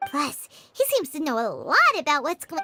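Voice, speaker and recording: A squeaky, high-pitched put-on character voice with very wide pitch swings plays over faint music in the background. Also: moderate pace. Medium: game stream. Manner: energetic, loud.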